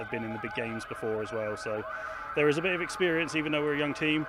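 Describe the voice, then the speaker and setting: Amid noticeable background noise and audible room echo, a man speaks very fast. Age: 30s. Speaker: football head coach. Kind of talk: pre-game interview.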